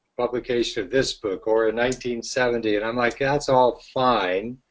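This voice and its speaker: Speaking at a fairly slow pace with an American accent, a man has a medium pitch and a plain, everyday voice. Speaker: green building consultant and author. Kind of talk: webinar presentation. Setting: online webinar call.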